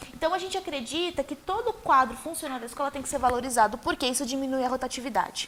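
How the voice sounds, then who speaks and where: Talking at a very fast pace with hardly any pauses, a woman with a high pitch uses lively intonation. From Brazil, Osasco (São Paulo state). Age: 30s. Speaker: mayoral candidate. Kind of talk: TV interview.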